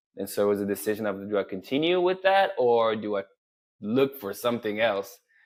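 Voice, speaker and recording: With a French accent, a man talks fairly quickly at a medium pitch with lively intonation, in a very clean recording with a silent background. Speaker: men's coach. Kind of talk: interview.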